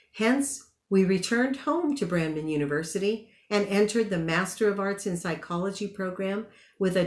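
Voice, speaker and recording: A woman's normal speaking voice at a medium pitch, with ordinary pitch variation and a moderate pace. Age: 60s. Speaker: commencement speaker, graduate psychotherapist. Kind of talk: commencement speech. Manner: formal.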